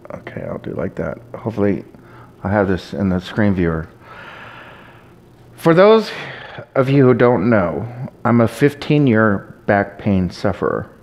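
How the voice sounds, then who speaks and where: A man with a fairly low pitch speaks at a fairly slow pace, leaving long, frequent pauses. His intonation is lively, and there is noticeable background noise. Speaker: video blogger. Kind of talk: casual monologue to camera. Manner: concentrated, sometimes riled up.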